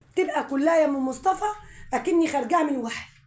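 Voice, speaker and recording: This woman's high-pitched voice carries audible room echo. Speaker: home poultry vlogger. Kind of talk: casual vlog talk.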